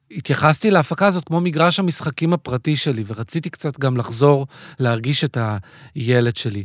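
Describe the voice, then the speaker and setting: The voice moves at a moderate pace with lively intonation, in a dry, close sound with no echo on a very clean recording with a silent background. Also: man, fairly high pitch for a man. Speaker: theatre director. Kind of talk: interview. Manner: hesitant, many fillers.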